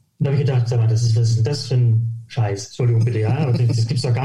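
The man speaks at medium pitch. Audible room echo surrounds his voice. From northern Germany, near Hamburg (Harburg). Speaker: golf coach. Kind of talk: podcast interview. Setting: remote audio recording, no video.

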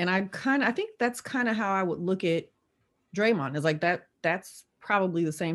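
Using a normal speaking voice, a woman with an American accent talks at medium pitch with ordinary pitch variation. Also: quiet background. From Oakland, California. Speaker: lawyer and tech executive. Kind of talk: casual interview chat.

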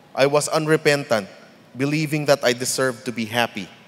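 This man talks at a moderate pace in a normal speaking voice at a medium pitch. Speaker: church member giving testimony. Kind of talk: testimony.

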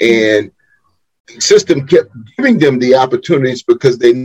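A somewhat breathy man with an American accent, fairly quick pace and lively intonation, in a dry, close sound with no echo. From Wilmington, North Carolina. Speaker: organizational consultant and executive coach. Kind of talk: interview.

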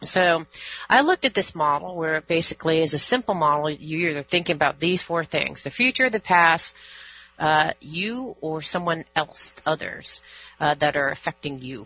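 This woman has a plain, everyday voice with fairly low pitch. She speaks at a moderate pace with lively intonation. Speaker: radio host. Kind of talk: radio interview.

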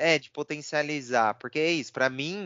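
The man's voice is a plain, everyday voice, fairly high in pitch. He keeps a moderate pace. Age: 30s. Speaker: podcast co-host. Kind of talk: casual chat.

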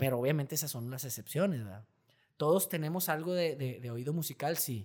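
At a fairly quick pace, a man with a fairly high pitch uses an ordinary speaking voice with ordinary pitch variation, on a very clean recording with a silent background. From Mexico. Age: 30s. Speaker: singer and engineer. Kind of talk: casual interview chat. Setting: studio.

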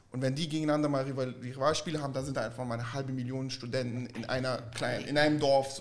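Over noticeable background noise, a man talks at a very fast pace with hardly any pauses in a monotone, flat intonation. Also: medium pitch for a man. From southern Germany (Stuttgart) and Florida. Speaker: vintage clothing dealer. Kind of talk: casual chat.

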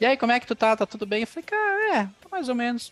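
Over noticeable background noise, a man talks very fast in a high-pitched voice. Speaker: podcast host. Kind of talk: casual chat; scripted narration.

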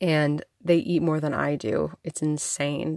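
A woman speaks at a very deep, low pitch. The sound is dry and close, with no echo. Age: 30s. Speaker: podcast host. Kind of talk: casual monologue. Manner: casual, chatty.

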